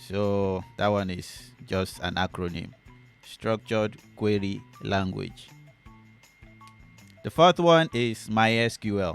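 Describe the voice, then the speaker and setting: With music in the background, a man with a fairly low voice speaks very slowly, with ordinary pitch variation and long, frequent pauses. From Nigeria. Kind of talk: casual talk to camera.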